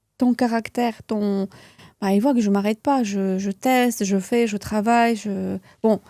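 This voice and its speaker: A woman with a Russian accent speaks fairly slowly in a fairly high, dark, mellow voice. Her intonation stays fairly even, and the sound is dry and close with no echo. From Russia (moved to France at 11). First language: Russian (speaking French). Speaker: beauty entrepreneur and trainer. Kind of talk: interview. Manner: halting, many fillers and repeats.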